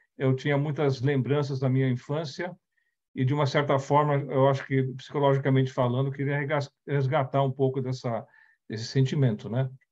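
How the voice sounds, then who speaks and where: A man with a fairly high, somewhat breathy voice speaks at a fairly quick pace with fairly even intonation over a quiet background. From Brazil, raised partly in the Netherlands. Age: 60s. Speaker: company CEO, speaker on diversity. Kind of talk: talk / presentation with slides. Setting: online event. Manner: halting, with self-corrections.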